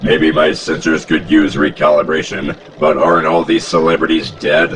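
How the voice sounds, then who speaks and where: Someone performs a put-on character voice over clear background noise with a slight echo. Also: man, moderate pace. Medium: solo performance. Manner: pedantic, logical.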